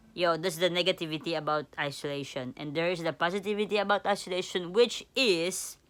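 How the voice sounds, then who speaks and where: A woman with a non-native accent speaks at a fairly low pitch, in a bright, sharp tone, with ordinary pitch variation. Her moderate pace comes through on a very clean recording with a silent background. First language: not English. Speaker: vlogger. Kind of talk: casual vlog monologue. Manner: halting, many fillers and repetitions.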